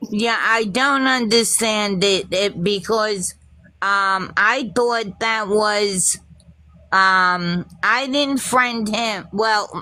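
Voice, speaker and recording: A woman speaks very slowly in a fairly high pitch with a bright, sharp tone and ordinary pitch variation. Her loudness stays very even, and the recording is very clean with a silent background. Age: 60s. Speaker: livestream call-in participant. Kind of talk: heated group argument. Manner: halting.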